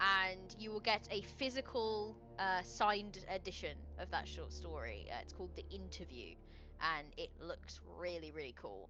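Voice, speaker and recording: A woman speaks at a moderate pace while music plays in the background. Her loudness shows big swings. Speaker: game designer and streamer. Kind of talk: live stream chat. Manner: halting.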